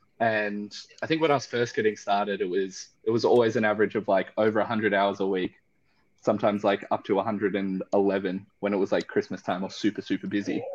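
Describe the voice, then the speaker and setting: Over a quiet background, a man with an Australian accent talks at a fairly quick pace, his intonation fairly even and his loudness very even. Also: fairly low pitch for a man. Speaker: spirits distillery founder. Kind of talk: casual chat.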